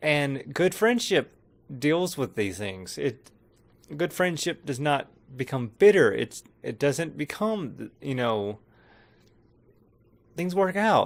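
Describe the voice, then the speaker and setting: A fairly high-pitched man at a very slow pace, with long, frequent pauses and very wide pitch swings, on a very clean recording with a silent background. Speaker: film review vlogger. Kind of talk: casual film review monologue. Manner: halting, self-interrupting.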